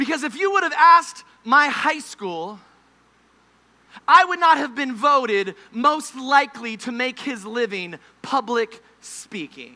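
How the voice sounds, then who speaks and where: A man uses a raised, projected voice at an extremely high pitch, with lively intonation and an animated tone. He goes at a fairly slow pace, and his loudness swings widely. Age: 30s. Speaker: preacher. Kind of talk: sermon. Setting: camp meeting service with audience. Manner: animated, humorous storytelling.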